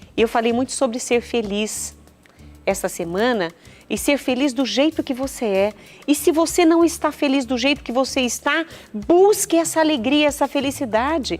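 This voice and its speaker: A high-pitched woman with a Minas Gerais accent and lively intonation at a moderate pace, with music in the background. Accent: Minas Gerais regional Brazilian. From Minas Gerais, Brazil.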